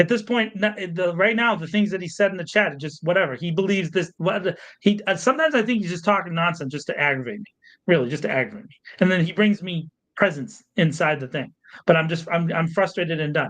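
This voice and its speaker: A man shouts at a very fast pace in a high voice, his loudness swinging widely while his pitch varies in an ordinary way. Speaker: podcast co-host and media producer. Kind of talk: live podcast discussion. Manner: loud, yelling; animated, heated.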